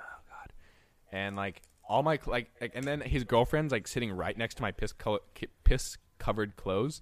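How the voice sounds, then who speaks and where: Here is a man with an unremarkable speaking voice at medium pitch and a moderate pace. His pitch variation is ordinary, while his loudness swings widely. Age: 20s. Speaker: podcast co-host. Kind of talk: casual chat. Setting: video call.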